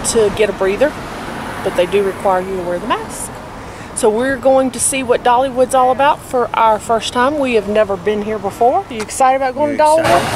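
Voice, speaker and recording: A woman's high-pitched, fairly quick speech with ordinary pitch variation, dry with no echo, over noticeable background noise. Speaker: family vlogger. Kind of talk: casual vlog chat. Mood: cheerful, upbeat. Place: street. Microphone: phone near.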